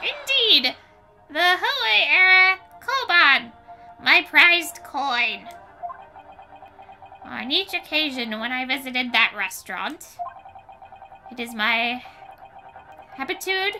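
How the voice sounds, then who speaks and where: Someone talks at a fairly slow pace in a put-on character voice, with faint music in the background. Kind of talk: comic overacting. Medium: game stream. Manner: pompous, archaic and flowery.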